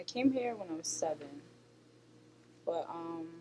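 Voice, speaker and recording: Her pace is very slow. The woman's intonation is lively. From Jamaica. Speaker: interview guest. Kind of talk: interview. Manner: hesitant.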